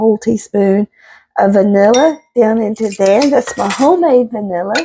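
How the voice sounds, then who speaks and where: A woman with a Southern US accent and a dark, mellow tone speaks at a fairly slow pace. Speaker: home cook, homesteading channel host. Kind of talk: casual cooking tutorial to camera. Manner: warm, chatty.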